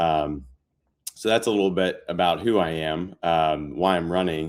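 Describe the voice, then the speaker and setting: In a very deep, low voice, a man speaks at a fairly slow pace with ordinary pitch variation and very even loudness. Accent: Southern US. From Panama City, Florida. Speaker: congressional candidate. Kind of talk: interview.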